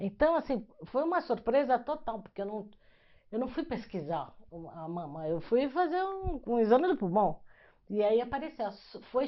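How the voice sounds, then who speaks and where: A woman's speech rises and falls in very wide pitch swings. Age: 60s. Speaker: lawyer, breast cancer survivor. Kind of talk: personal testimony in interview. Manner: casual, halting.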